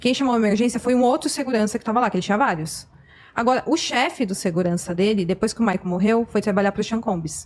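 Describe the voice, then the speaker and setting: A woman's fairly high voice, very fast, with very even loudness and ordinary pitch variation, on a very clean recording with a silent background. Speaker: YouTuber, commentator on true crime cases. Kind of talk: podcast conversation.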